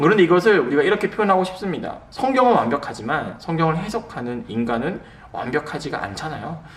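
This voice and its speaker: A man speaks very fast in a high voice, his pitch swinging very widely. Noticeable background noise and audible room echo surround him. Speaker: pastor. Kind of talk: lecture. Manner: slurred pronunciation; conversational with fillers.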